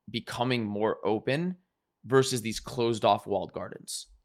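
Heard in a very clean recording with a silent background, a plain, everyday voice moves at a moderate pace. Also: man. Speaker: podcast host. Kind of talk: casual interview chat.

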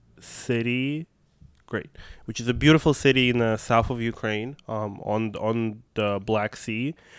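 A man with a Russian accent and fairly even intonation, on a very clean recording with a silent background. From Russia, Moscow. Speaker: activist. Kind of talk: casual chat.

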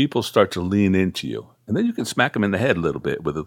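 On a very clean recording with a silent background, a man has a normal speaking voice with a fairly low pitch and ordinary pitch variation. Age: 60s. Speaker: guitarist and music producer. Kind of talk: casual interview.

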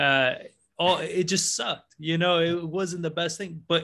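In a very clean recording with a silent background, a man talks at a moderate pace with a bright, sharp tone and fairly even intonation. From New York, born in Argentina. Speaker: real estate investor. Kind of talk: interview.

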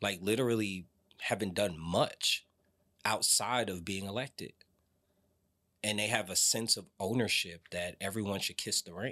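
With an American accent, a man talks at a moderate pace in a fairly low, bright and sharp voice, his intonation fairly even and his long pauses frequent, on a very clean recording with a silent background. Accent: New Jersey tinge with some Atlanta. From New Jersey. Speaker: city council candidate. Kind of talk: campaign interview.

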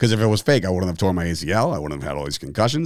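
A man with a New Jersey accent speaks with lively intonation. The recording is very clean and dry, close with no echo, over a silent background. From New Jersey (Fords, Woodbridge area). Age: 30s. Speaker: podcast host, former pro wrestler. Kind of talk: casual solo monologue.

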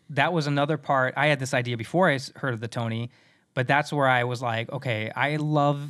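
An ordinary speaking voice belongs to this man with an American accent, talking at a fairly quick pace with fairly even intonation on a very clean recording with a silent background. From US Midwest, South Dakota. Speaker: voice actor. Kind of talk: casual chat. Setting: home recording booth.

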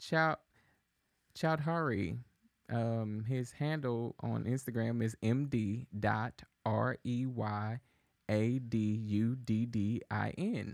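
Speaking very slowly with long, frequent pauses, a man with a medium-pitched voice and ordinary pitch variation is heard in a dry, close sound with no echo on a very clean recording against a silent background. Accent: American. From Texas, Dallas (Oak Cliff). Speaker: podcast producer and co-host. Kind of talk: casual chat. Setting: studio.

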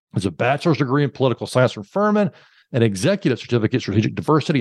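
A man with an American accent talks at fairly high pitch with very wide pitch swings. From Alabama, US South. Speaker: podcast host and corporate trainer. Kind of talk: interview conversation.

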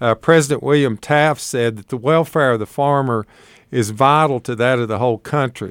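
Speaking with an Appalachian accent at a moderate pace, a man uses a medium pitch and ordinary pitch variation in a dry, close sound with no echo. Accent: Appalachian Southern, noticeable. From Appalachia, northeast Tennessee. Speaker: agricultural extension agent. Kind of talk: live radio call-in talk. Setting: radio studio, live broadcast.

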